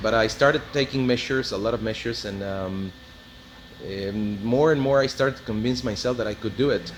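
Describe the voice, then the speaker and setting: With a slight non-native accent, the speaker goes at a fairly quick pace with ordinary pitch variation over noticeable background noise. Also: man, medium pitch for a man. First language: Spanish. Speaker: car hobbyist / mechanic. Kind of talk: casual video walkthrough. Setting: auto body shop. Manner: halting, many fillers.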